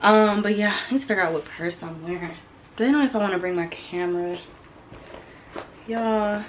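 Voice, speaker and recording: Noticeable background noise sits behind a woman speaking at a medium pitch with ordinary pitch variation. Her pace is fairly quick, broken by long, frequent pauses. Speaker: lifestyle vlogger. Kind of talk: casual vlog talk to camera. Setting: at home.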